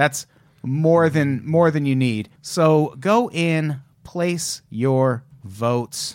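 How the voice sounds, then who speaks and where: A man's fairly high voice with ordinary pitch variation at a very slow pace. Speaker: podcast host. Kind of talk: casual comedic banter.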